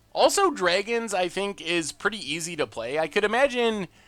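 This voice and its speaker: On a very clean recording with a silent background, a man projects a raised voice at a high pitch and moderate pace. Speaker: streamer playing a card game.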